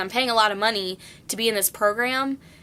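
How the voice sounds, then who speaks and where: Loud and bright with a sharp tone, a woman speaks in a monotone, flat intonation. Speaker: nursing student vlogger. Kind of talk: casual vlog tips.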